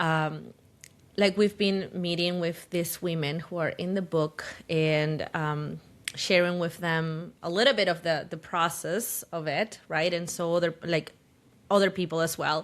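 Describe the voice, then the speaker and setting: A woman speaks with a Spanish accent. Her pitch is fairly low and her pace fairly slow. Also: fairly even intonation, very clean recording, silent background. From Peru, Lima. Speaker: podcast co-host and photographer. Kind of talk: casual chat. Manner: halting, searching for words.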